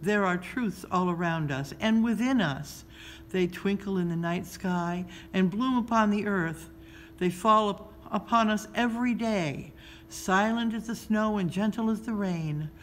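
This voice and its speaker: Over clear background noise, a woman does a put-on character voice that is soft-spoken and rumbling, at medium pitch and a fairly slow pace. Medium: read story. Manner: slow, gentle, wise.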